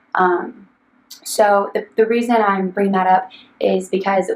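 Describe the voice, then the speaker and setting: A woman talks at a medium pitch with fairly even intonation. Noticeable background noise runs under her voice. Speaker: financial planner. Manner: fast; hesitant, many ums.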